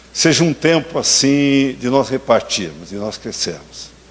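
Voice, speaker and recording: A man talks at a fairly slow pace. Noticeable noise sits in the background. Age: 70s. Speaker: pastor. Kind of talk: sermon. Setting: church.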